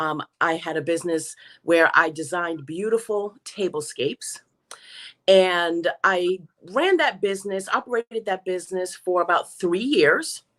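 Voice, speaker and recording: On a very clean recording with a silent background, a woman of medium pitch speaks in an American accent at a fairly slow pace with ordinary pitch variation. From New York. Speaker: small business owner. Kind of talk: interview. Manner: loud.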